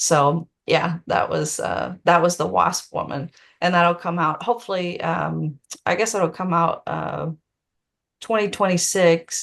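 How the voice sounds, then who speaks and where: A woman with a Tennessee accent talks at a fairly slow pace. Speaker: author. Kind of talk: Q&A on a video call. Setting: Zoom video call.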